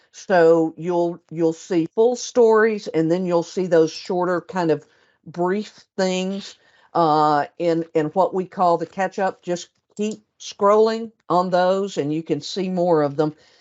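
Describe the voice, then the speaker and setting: Speaking very slowly with a Southern US accent, a woman keeps a fairly low pitch and fairly even intonation. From US South. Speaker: senior editor. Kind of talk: webinar presentation and Q&A.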